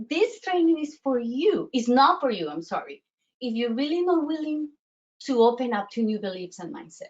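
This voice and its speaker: Her voice is high-pitched, and she talks at a moderate pace. This woman has a Colombian accent, and her pitch swings very widely. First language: Spanish. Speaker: self-worth coach. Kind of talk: online workshop presentation. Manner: halting, many fillers and restarts.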